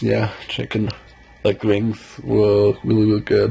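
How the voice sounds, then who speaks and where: A man's fairly low voice at a moderate pace, a plain, everyday voice. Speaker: daily vlogger. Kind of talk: casual vlog chat. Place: home room. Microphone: phone near.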